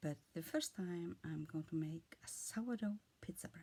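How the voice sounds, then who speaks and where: Lively in intonation, a woman talks at a moderate pace. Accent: Icelandic. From Iceland. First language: Icelandic. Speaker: vlogger. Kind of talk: casual monologue. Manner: halting.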